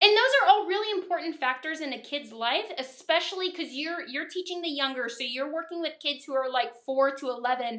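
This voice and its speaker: Bright and sharp in tone, the voice sounds upbeat and excited, with lively intonation, a fairly quick pace and hardly any pauses. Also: woman, high pitch for a woman. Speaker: teacher, vlog host. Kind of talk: vlog host interview. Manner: upbeat, excited.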